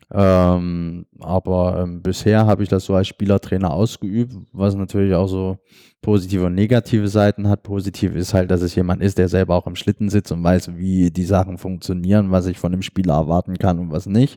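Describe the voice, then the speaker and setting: Speaking in a very deep, low voice with a dark, mellow tone, a man delivers a monotone, flat line at a moderate pace with hardly any pauses, in a dry, close recording with no echo and a silent, very clean background. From Saxony, Dresden. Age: 20s. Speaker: sledge hockey player and wheelchair user. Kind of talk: casual interview. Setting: trade fair booth.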